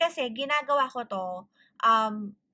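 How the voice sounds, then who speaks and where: A woman with a high pitch and a bright, sharp tone makes very wide pitch swings. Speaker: tarot reader. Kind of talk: tarot reading with Taglish chat. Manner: casual Taglish code-switching.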